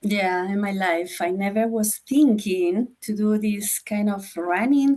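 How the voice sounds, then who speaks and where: A woman's dark, mellow voice in a Spanish accent, medium in pitch with ordinary variation, at a very slow pace. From Chile. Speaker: former school board candidate. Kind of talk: interview. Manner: halting, non-fluent English.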